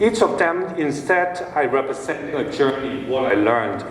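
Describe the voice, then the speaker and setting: A man with a Hong Kong accent speaks at a fairly slow pace with lively intonation, with audible room echo and noticeable background noise. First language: Cantonese. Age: 50s. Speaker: ceramic designer. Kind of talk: presentation talk. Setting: event with audience.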